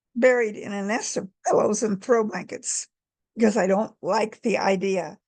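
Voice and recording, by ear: Quiet surroundings behind a natural voice reading aloud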